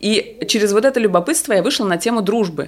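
A woman speaks at a moderate pace in an ordinary speaking voice. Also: very clean recording, silent background. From Moscow, Russia. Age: 40s. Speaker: sex educator and blogger. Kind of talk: casual chat.

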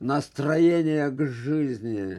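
Against a quiet background, a man with a fairly high voice speaks very slowly, with ordinary pitch variation. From Transbaikal, eastern Siberia, Russia. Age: 80s+. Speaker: folk artist and sculptor. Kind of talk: interview.

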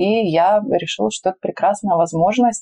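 With lively intonation at a moderate pace, a woman talks in an unremarkable speaking voice. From Russia, Urals (Magnitogorsk, Chelyabinsk region). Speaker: PR agency founder. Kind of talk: interview. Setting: face-to-face, not in a studio.

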